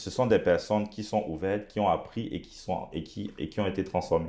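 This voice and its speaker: Man's voice with an African accent and a dark, mellow tone. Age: young. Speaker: pastor and entrepreneur; pastor. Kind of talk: interview. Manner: halting, many hesitations. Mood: calm, reflective. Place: studio. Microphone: lapel.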